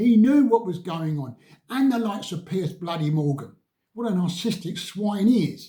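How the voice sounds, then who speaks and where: Speaking in an English accent, a man uses a dark, mellow tone at a high pitch, with lively intonation and a moderate pace. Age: 80s+. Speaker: vlogger. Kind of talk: political rant.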